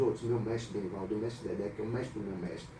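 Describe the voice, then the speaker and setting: A man is speaking. Audible room echo and noticeable background noise surround him. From Brazil, Salvador (Bahia). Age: 50s. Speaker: capoeira master. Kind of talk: radio interview. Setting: radio studio.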